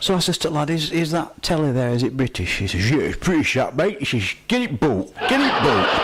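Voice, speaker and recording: A man's fairly high-pitched voice with a Yorkshire accent, very even loudness, very wide pitch swings and hardly any pauses, against noticeable background noise. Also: fairly quick pace. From Yorkshire, Barnsley. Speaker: amateur comedian. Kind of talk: stand-up.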